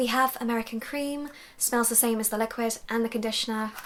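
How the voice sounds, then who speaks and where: Speaking with a British accent, a woman keeps a moderate pace and ordinary pitch variation. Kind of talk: casual talk to camera. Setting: home recording.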